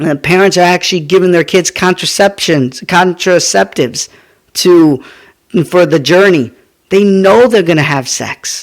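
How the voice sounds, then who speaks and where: Here a man speaks in a high voice with ordinary pitch variation. His pace is fairly slow. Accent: American. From US, Mexican American. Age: 30s. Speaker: podcast host. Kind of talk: opinion monologue. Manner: animated.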